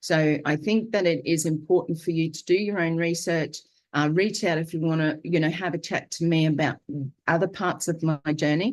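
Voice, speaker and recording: A woman with a fairly low voice speaks with an Australian accent at a moderate pace. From Queensland, Australia. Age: 60s. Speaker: vlogger sharing diet journey. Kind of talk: live video monologue. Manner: hesitant, many fillers.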